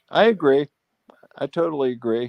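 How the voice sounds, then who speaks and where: A man speaks at a moderate pace in a dark, mellow tone with a fairly high pitch and ordinary pitch variation. The sound is dry and close, with no echo. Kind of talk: casual chat.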